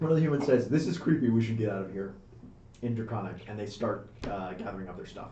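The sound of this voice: The unforced reading voice carries lively intonation.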